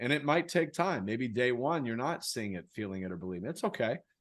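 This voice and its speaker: A man with a plain, everyday voice and medium pitch speaks with lively intonation against a quiet background. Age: 60s. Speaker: author and speaker on personal growth. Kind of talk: interview.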